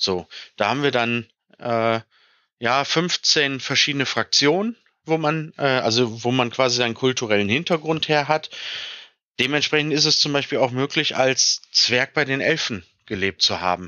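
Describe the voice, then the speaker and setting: An unremarkable speaking voice moves at a moderate pace with ordinary pitch variation and very even loudness. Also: man, medium pitch for a man. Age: 30s. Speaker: tabletop role-playing game designer and game master. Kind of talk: podcast interview.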